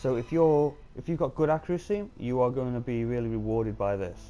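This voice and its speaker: A man with a British accent speaks at a medium pitch, his tone dark and mellow, with ordinary pitch variation. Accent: UK. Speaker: gaming YouTuber. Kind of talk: casual game commentary. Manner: hesitant, many filler ums.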